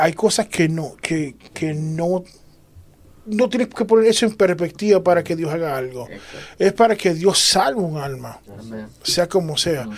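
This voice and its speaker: This man's voice is high-pitched, with lively intonation and big swings in loudness. He moves at a moderate pace. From Puerto Rico. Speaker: church member discussing faith. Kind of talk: religious panel discussion.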